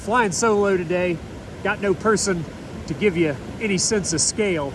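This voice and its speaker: Man with a high pitch and ordinary pitch variation amid noticeable background noise. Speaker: geologist. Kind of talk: casual talk to camera outdoors. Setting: outdoors.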